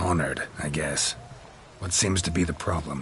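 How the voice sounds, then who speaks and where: Using a cartoonish character voice at a very deep, low pitch, a man talks at a moderate pace amid clear background noise. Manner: terse, deadpan.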